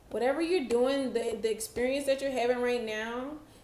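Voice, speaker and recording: The room has audible echo around a woman's voice. Her tone is dark and mellow, her intonation fairly even. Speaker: tarot reader. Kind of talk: tarot reading monologue. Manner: slow.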